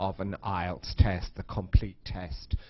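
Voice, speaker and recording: A man with a British accent, somewhat breathy, at a fairly slow pace. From UK. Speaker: English teacher. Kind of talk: lecture. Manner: slow, clear for learners.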